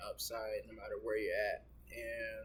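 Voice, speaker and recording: Noticeable background noise is present. A man talks over it at a moderate pace. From US South (Augusta, Georgia). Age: 20s. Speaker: vlogger. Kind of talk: casual vlog monologue. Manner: casual, filler-heavy.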